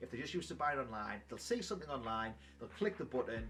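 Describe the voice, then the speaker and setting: Over music in the background, a man with a strong British accent speaks at a very fast pace. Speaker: YouTuber, trading card collector. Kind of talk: casual vlog commentary.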